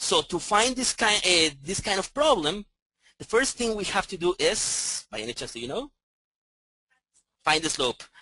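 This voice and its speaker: A man projects a raised voice, high in pitch with a bright, sharp tone and very wide pitch swings. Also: moderate pace, dry, close sound with no echo. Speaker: math professor. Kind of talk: lecture. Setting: classroom with online audience. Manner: loud; halting.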